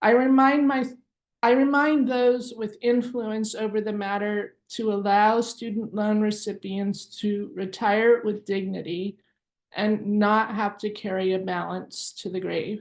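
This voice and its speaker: Against a quiet background, a woman with a plain, everyday voice speaks at a fairly slow pace. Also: fairly high pitch for a woman, fairly even intonation. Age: 50s. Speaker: activist student debtor. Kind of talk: prepared statement at press conference.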